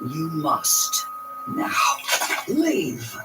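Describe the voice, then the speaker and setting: A man does a put-on character voice against heavy background noise. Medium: read story. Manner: menacing.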